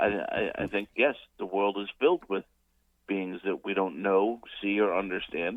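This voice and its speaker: A man's voice sits at a fairly low pitch. His intonation stays fairly even. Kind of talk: radio call-in commentary. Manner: casual, humorous.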